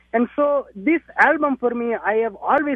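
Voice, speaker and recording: A man talks in an Indian accent at a moderate pace. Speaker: musician. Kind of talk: interview.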